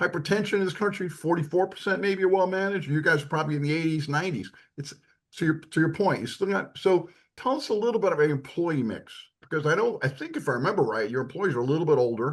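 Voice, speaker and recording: A man talks at a very fast pace in a high pitch. His tone is animated. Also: lively intonation. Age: 70s. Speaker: physician and podcast co-host. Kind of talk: podcast interview.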